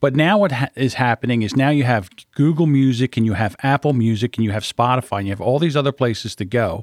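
At a very fast pace with hardly any pauses, a man talks at a medium pitch with ordinary pitch variation, recorded very cleanly with a silent background and a dry, close sound with no echo. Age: 50s. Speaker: podcast editor. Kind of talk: casual chat.

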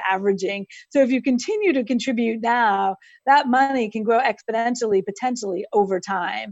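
At a fairly quick pace, a woman talks in an unremarkable speaking voice, fairly high-pitched. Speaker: financial executive. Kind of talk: interview.

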